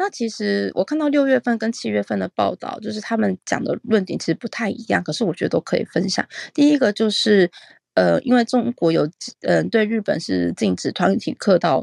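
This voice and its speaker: The sound is dry and close, without any echo. A woman speaks fairly quickly. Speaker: overseas correspondent in Japan. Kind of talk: news report. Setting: remote call.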